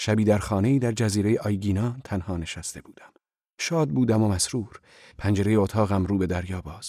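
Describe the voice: Plain reading aloud. The background is quiet.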